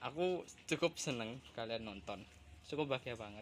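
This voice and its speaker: Speaking at a medium pitch, a man keeps a moderate pace and ordinary pitch variation. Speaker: vlogger. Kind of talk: casual vlog narration. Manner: halting.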